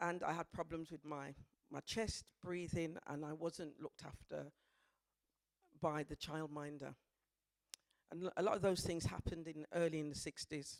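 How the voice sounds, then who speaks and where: With a Birmingham accent, the speaker goes at a moderate pace with long, frequent pauses, in a dry, close sound with no echo. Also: woman. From Birmingham, England. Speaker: dance practitioner. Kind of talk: presentation talk.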